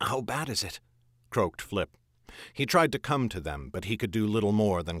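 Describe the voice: Someone reads aloud plainly, with intonation that is lively.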